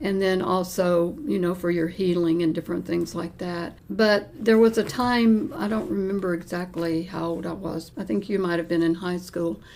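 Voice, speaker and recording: A woman with a fairly low voice speaks at a moderate pace with ordinary pitch variation and hardly any pauses, over noticeable background noise. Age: 80s+. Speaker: interviewee. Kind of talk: interview answer.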